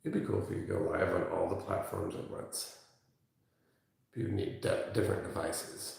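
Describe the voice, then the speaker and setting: The voice is soft-spoken, at a moderate pace. Audible room echo surrounds it. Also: man. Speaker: massage therapist. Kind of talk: live-stream massage demonstration. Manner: soft-spoken, talking low.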